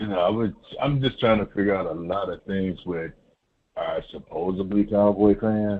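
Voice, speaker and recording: At a moderate pace, a man uses a normal speaking voice with a fairly low pitch. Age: 60s. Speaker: caller. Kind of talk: phone-in call.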